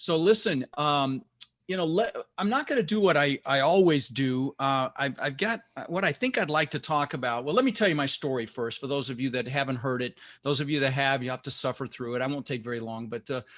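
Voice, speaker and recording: On a very clean recording with a silent background, a man speaks in a normal speaking voice, fairly high in pitch with ordinary variation, at a fairly quick pace. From US West (Denver, Colorado), immigrated from Netherlands at six. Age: 60s. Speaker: real estate investor and motivational speaker. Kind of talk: motivational talk.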